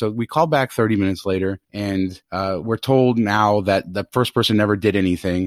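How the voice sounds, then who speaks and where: Recorded very cleanly with a silent background and a dry, close sound with no echo, a man speaks in a fairly low pitch with ordinary pitch variation. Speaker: podcast host. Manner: measured pace, not a fast talker.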